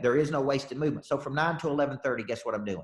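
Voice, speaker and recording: A man speaks at a very fast pace with a somewhat breathy voice. His pitch is fairly high, with ordinary variation. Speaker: sales coach leading a training call. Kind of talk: casual, motivational. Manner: fast talker.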